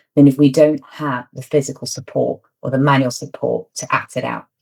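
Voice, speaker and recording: This woman speaks with a British accent. Her voice is very deep and low, and her pace is moderate. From Britain. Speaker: media trainer. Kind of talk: tutorial.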